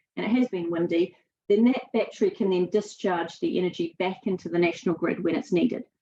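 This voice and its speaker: Spoken at a fairly quick pace in a New Zealand accent, the voice has a dark, mellow tone and lively intonation. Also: woman. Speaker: sustainability speaker. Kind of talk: webinar presentation. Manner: halting, many fillers.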